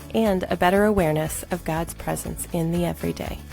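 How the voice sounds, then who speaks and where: Music in the background behind a woman's moderate pace. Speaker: podcast co-host. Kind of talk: podcast intro.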